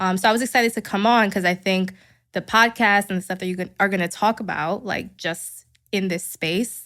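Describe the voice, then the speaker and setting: This woman talks fairly quickly in a New York accent, her intonation fairly even. The recording is very clean and the background silent. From New York City, Queens. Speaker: psychotherapist. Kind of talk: casual interview chat.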